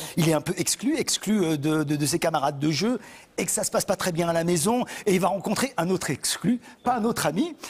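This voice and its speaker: Here a man speaks fairly quickly with a high pitch and lively intonation. His loudness stays very even. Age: 40s. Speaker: actor and show host. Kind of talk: TV talk show interview. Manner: energetic, animated.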